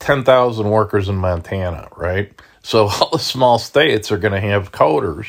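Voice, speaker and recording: In a very clean recording with a silent background, a man talks in an unremarkable speaking voice, fairly low in pitch, with ordinary pitch variation. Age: 60s. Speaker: finance video blogger. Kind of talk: solo commentary reading news. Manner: casual, with frequent fillers.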